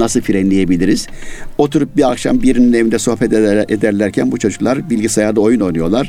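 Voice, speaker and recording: This man has an unremarkable speaking voice, medium in pitch with ordinary pitch variation, at a fairly quick pace. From Yozgat, central Turkey. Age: 60s. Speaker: poet and writer, retired literature teacher. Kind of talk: interview chat.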